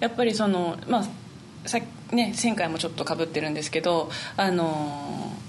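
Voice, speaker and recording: A woman at a moderate pace, with audible room echo. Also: fairly low pitch for a woman, ordinary pitch variation. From Niigata, Japan. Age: 20s. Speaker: flutist. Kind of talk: interview.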